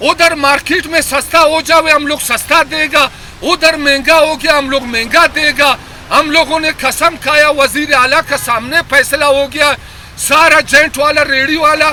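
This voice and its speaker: A man with a Pashto accent speaks at an extremely high pitch in a raised, projected voice. His tone is animated, and there is noticeable background noise. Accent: Pashto-accented Urdu, local. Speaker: vegetable vendor. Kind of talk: street interview, comic. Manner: animated, emphatic.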